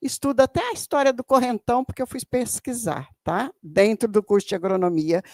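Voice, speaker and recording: A woman's voice swings very widely in pitch, recorded dry and close with no echo. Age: 70s. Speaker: audience member, educator and activist. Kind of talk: audience question at a seminar. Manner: halting.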